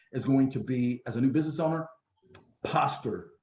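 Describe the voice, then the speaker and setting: With a plain, everyday voice, a man talks at a fairly quick pace, his fairly high pitch showing ordinary variation. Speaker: business coach presenter. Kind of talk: business workshop presentation.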